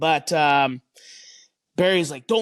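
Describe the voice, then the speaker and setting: A man speaks with a Canadian accent. The background is quiet. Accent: Canadian, noticeable. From Canada. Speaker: retired hockey player. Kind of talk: interview. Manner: halting, many repetitions.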